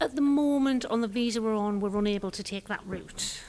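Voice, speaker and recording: The speaker talks with an English accent. Pitch variation is ordinary. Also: woman. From northeast England. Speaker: furniture store owner. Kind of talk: interview.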